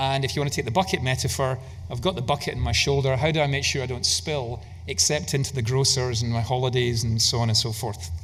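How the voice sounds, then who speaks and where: A man with a Scottish accent talks at a very fast pace in a somewhat breathy voice, with audible room echo around him. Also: medium pitch for a man, ordinary pitch variation. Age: 60s. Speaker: investment manager. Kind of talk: conference keynote talk.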